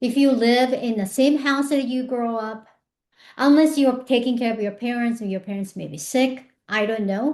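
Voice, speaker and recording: In a Japanese accent, a woman speaks at a high pitch and a moderate pace with ordinary pitch variation, over a quiet background. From Japan, Tokyo. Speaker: personal growth speaker. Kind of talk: motivational talk. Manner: conversational, with hesitations.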